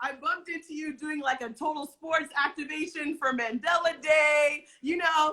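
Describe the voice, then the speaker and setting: A woman with an American accent, raised and projected, high-pitched, bright and sharp in tone, animated, at a moderate pace with hardly any pauses. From United States. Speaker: talk show host. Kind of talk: casual interview. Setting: Instagram live stream.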